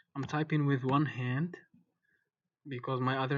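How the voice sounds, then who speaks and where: A man at a medium pitch speaks in a flat monotone. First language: French. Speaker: programming course instructor. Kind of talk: tutorial. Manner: hesitant, many fillers.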